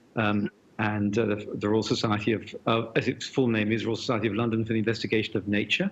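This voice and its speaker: Speaking very fast with a British accent, a man holds a fairly low pitch, very even loudness and flat, monotone intonation. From Britain. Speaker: physics professor. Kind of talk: interview conversation.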